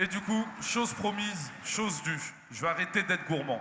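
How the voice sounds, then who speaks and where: In a space with audible room echo and noticeable background noise, a man speaks in a raised, projected voice. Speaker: event presenter. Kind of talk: live stage interview moderation. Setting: stage with audience.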